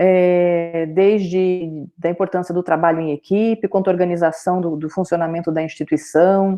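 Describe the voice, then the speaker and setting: A woman's fairly low, monotone voice with flat intonation, at a moderate pace with hardly any pauses. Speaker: university lecturer. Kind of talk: online lecture.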